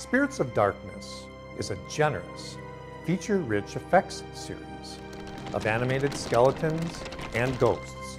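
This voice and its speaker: A man's fairly slow speech with very wide pitch swings over music in the background. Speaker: voice actor. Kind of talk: product commercial narration.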